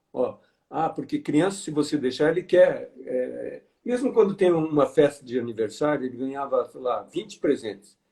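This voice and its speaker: A man at a moderate pace. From Brazil, interior of Paraná. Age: 60s. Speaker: financial education speaker. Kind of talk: live online interview. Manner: halting.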